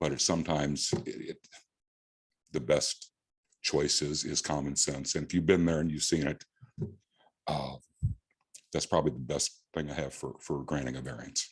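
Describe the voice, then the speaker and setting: This man has a very deep, low pitch and an American accent, talking at a moderate pace with vocal fry, fairly even intonation, and long, frequent pauses. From US Midwest, Illinois. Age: 70s. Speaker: property owner seeking variance. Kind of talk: public testimony. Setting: town board meeting. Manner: halting, repeats words.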